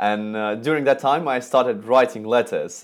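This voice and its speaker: A man with a Russian accent and ordinary pitch variation, on a very clean recording with a silent background. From Russia, Moscow. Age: 20s. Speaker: calligraphy and lettering artist. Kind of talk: interview. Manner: halting.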